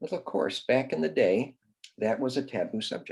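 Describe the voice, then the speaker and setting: This is a man speaking. His pace is fairly quick. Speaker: grief support cofounder sharing adoption story. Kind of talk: interview storytelling. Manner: halting, many fillers.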